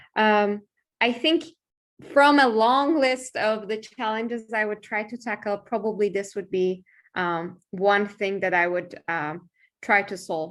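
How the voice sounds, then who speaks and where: A woman at a fairly slow pace with a Turkish accent. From eastern Turkey, Kurdish origin. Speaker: human rights lawyer and NGO founder. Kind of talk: online forum talk and Q&A. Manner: hesitant, frequent fillers.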